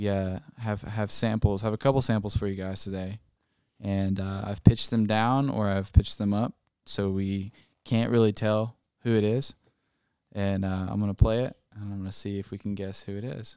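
In a very clean recording with a silent background, a man talks at a moderate pace with monotone, flat intonation. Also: fairly low pitch for a man, big swings in loudness. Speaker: podcast host. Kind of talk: casual chat.

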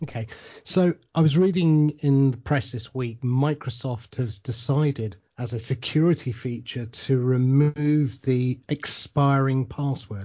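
A somewhat breathy man's voice at a medium pitch, with ordinary pitch variation and a fairly slow pace. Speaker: radio show host. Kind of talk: casual interview chat.

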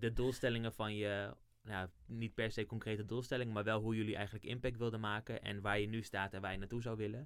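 A man talks at a very fast pace with hardly any pauses. His voice is fairly low in pitch, and his intonation is monotone and flat. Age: 30s. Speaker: internship supervisor. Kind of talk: interview.

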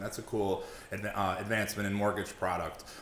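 With an American accent, a man talks at a moderate pace in a bright, sharp tone. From Long Island, New York. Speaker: mortgage broker and business owner. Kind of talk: casual interview chat. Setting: podcast studio.

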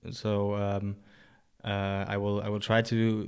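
A man's fairly low, monotone voice at a fairly slow pace, in a German accent, on a very clean recording with a silent background. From Germany. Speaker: personal trainer and rehab coach. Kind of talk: casual interview. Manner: halting, many fillers.

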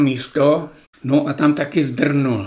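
This man speaks at a very slow pace. His pitch is fairly high, and his intonation stays fairly even. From Czech Republic, Šumava region. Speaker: former gamekeeper. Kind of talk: reminiscing interview. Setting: at home.

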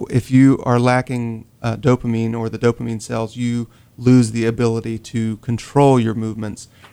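A man with a Southern US accent speaks at a moderate pace, his medium-pitched voice dark and mellow. His intonation is flat and monotone. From North Carolina (Rocky Mount). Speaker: social worker. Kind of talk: radio interview.

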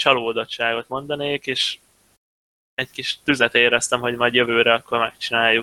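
Flat and monotone, a man at a medium pitch talks at a moderate pace in a bright, sharp tone. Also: dry, close sound with no echo. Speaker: professional esports player. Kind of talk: casual chat.

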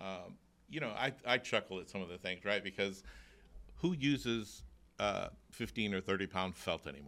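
An American-accented man with a fairly low pitch, vocal fry and a bright, sharp tone speaks at a moderate pace with lively intonation and long, frequent pauses in a very clean recording with a silent background. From Florida, Tampa. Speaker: roofing sales representative. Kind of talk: casual interview chat. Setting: studio.

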